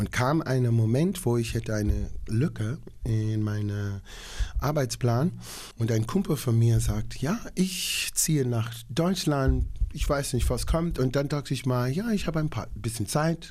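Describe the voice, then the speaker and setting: The man's voice is somewhat breathy. He speaks at a fairly slow pace. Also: medium pitch for a man, lively intonation. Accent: English. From Long Island, New York. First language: English (speaking German). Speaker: opera singer. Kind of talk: interview.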